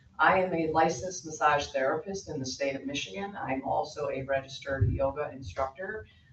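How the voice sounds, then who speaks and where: A woman's very deep, low voice at a fairly quick pace, with lively intonation and noticeable background noise. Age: 60s. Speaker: massage therapist and yoga instructor. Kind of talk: public comment at board meeting. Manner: unscripted, spontaneous.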